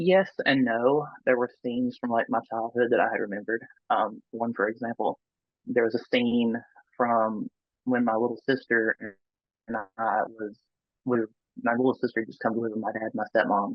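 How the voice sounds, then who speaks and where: With a Southern US accent, a man at medium pitch speaks at a moderate pace, leaving long, frequent pauses. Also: fairly even intonation. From US South. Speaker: near-death experiencer. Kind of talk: interview testimony. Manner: halting.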